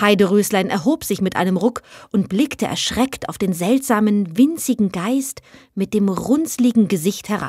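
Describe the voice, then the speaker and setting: The voice is somewhat breathy, with an animated, gentle tone. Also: woman, medium pitch for a woman, lively intonation. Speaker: actress reading fairy tales aloud. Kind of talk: bedtime story reading aloud, fairy tale narration. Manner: soft, gentle, unhurried storytelling; animated, shifting into a small pleading voice for the will-o'-the-wisp.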